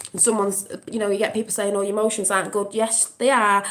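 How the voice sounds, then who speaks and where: Over noticeable background noise, a woman of medium pitch speaks at a very fast pace. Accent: English. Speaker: vlogger. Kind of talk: casual chat. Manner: emotional, impassioned.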